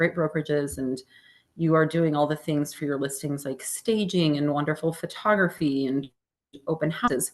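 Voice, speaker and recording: A woman with a very deep, low pitch speaks at a moderate pace with ordinary pitch variation. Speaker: real estate agent and marketing trainer; presenter. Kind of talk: interactive training webinar. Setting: video call with screen share. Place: home room. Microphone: webcam.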